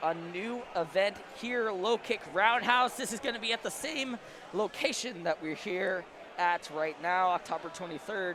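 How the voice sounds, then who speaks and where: A man with a high pitch speaks in a raised, projected voice with ordinary pitch variation. Noticeable background noise runs behind him. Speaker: esports commentator. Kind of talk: live commentary.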